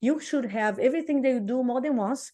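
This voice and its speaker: A woman's dark, mellow tone with a Brazilian accent, ordinary pitch variation and a quiet background. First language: Portuguese. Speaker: real estate coach. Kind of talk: casual interview chat. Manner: animated.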